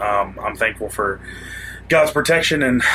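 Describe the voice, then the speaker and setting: A man with a Southern US accent talks at a fairly quick pace against noticeable background noise. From Florida Panhandle, US South. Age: 20s. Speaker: musician, former deputy sheriff. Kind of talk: interview testimony.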